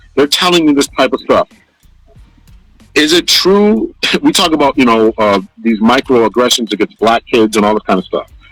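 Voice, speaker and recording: Lively intonation and a moderate pace carry this voice over music playing in the background. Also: man. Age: 40s. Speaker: podcast host. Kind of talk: casual discussion.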